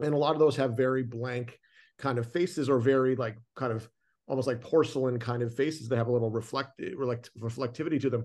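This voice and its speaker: Here a man with a Canadian accent talks at a very fast pace, his medium pitch kept to fairly even intonation. The background is quiet. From Canada. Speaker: film director. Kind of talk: casual interview. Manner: halting, many fillers.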